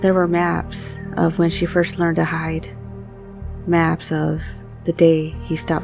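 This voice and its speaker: A woman's gentle tone at a fairly slow pace, with music in the background. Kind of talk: hypnotic bedtime story narration. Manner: slow, gentle, restorative pacing.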